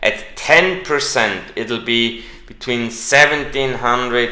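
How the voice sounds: A man speaks at a slow pace in a bright, sharp tone with fairly even intonation, and strong room echo surrounds him.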